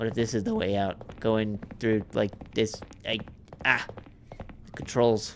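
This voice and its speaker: A fairly low-pitched man speaking at a fairly slow pace over noticeable background noise. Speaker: gaming YouTuber. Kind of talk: gameplay commentary. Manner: animated.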